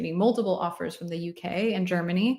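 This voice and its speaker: A woman speaks with an American accent in a normal speaking voice. Her pitch is fairly low and her intonation fairly even. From United States. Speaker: UX design mentor, livestream host. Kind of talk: live Q&A stream. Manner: casual, conversational.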